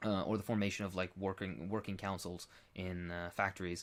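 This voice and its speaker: A man is speaking at a fairly quick pace. His pitch sits fairly low. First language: Arabic. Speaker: political commentator being interviewed. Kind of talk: Q&A interview answer. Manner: halting, many fillers.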